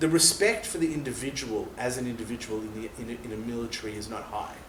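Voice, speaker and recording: A man with an Australian accent talks at a very fast pace and medium pitch, with ordinary pitch variation, noticeable background noise and audible room echo. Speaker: former soldier. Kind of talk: interview. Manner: casual.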